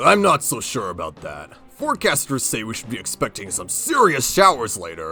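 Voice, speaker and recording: Faint music sits in the background while a man does a put-on character voice at a medium pitch and moderate pace. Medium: machinima. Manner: nervous, hesitant.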